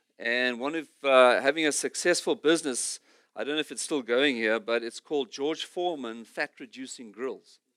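A man with an ordinary speaking voice, medium pitch, ordinary pitch variation, and a moderate pace, in a very clean recording with a silent background and a dry, close sound with no echo. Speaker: missionary pastor. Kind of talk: sermon. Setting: church.

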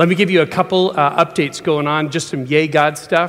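This man has a fairly high pitch, ordinary pitch variation and a normal speaking voice. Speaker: preacher. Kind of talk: sermon. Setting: church.

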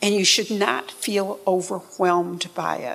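With a northern US accent, a woman speaks at a medium pitch with vocal fry. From upstate New York. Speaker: church member. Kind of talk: testimony. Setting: church.

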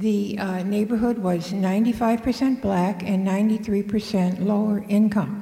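A woman speaks very slowly with monotone, flat intonation and hardly any pauses, against noticeable background noise. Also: medium pitch for a woman. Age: 80s+. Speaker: retired teacher, storyteller. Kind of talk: live storytelling.

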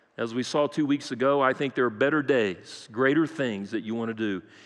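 A man with an American accent and a plain, everyday voice, ordinary pitch variation and a moderate pace, over a quiet background. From Brazil (American missionary kid). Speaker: pastor. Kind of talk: sermon. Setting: church.

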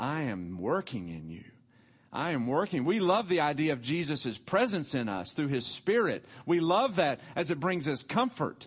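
The voice has a Tennessee accent. Its pitch swings very widely. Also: man. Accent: Southern US (Tennessee). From US South, Tullahoma, Tennessee. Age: 50s. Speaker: pastor. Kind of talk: sermon. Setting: church.

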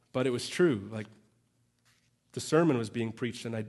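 A man with a Canadian accent and audible room echo. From Canada. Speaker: pastor. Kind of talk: sermon. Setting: church. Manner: animated.

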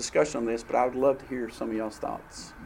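A man with a Southern US accent, amid audible room echo. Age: 50s. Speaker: church class teacher. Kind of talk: church class teaching with discussion.

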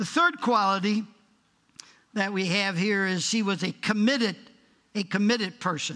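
The voice is raised and projected, with ordinary pitch variation and long, frequent pauses. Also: man, high pitch for a man, moderate pace. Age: 80s+. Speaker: guest preacher. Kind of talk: sermon. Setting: church.

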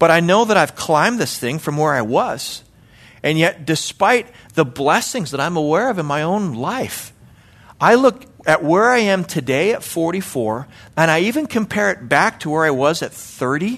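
This man talks at a moderate pace in a high pitch, his voice making very wide pitch swings. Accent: Canadian. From Canada, Calgary, Alberta. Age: 40s. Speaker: lay preacher and church elder. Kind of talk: sermon. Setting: church.

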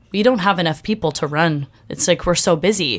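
A woman with an American accent at a moderate pace in a very clean recording with a silent background. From Bay Area, California. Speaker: coffee shop ministry manager. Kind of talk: casual chat; testimony.

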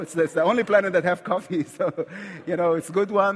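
Delivered at a very fast pace, the speech comes with an Egyptian accent and fairly even intonation. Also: man. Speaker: visiting preacher. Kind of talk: sermon. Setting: church.

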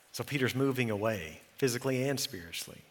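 A man's medium-pitched voice with an American accent, bright and sharp in tone, at a moderate pace, with ordinary pitch variation and audible room echo. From Texas, Eula. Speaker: pastor. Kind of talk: sermon.

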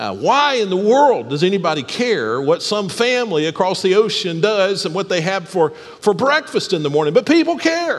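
A man with an American accent speaks in a high voice that swings very widely in pitch, with hardly any pauses over noticeable background noise. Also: moderate pace. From US South, Alabama. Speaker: pastor. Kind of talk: sermon. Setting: church.

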